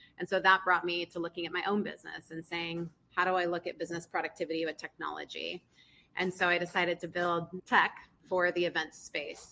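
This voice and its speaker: A woman's fairly low, monotone, flat voice with an American accent, bright and sharp in tone, at a fairly quick pace. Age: 40s. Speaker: entrepreneur. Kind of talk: talk to a live audience.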